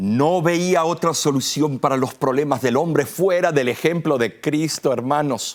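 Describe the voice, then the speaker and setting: Speaking at a fairly slow pace with hardly any pauses, a man keeps very even loudness, fairly high pitch and ordinary pitch variation. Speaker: pastor. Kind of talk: sermon. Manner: forceful.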